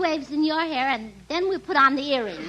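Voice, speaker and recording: Over noticeable background noise, a woman uses a raised, projected voice at a moderate pace with ordinary pitch variation. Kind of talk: old-time radio comedy sketch.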